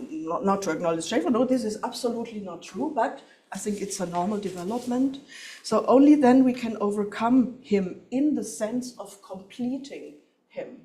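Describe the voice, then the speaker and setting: A woman with a fairly high pitch speaks at a moderate pace with ordinary pitch variation. Her loudness swings widely, and the room echo is audible. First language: German. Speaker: professor. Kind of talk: lecture. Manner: halting.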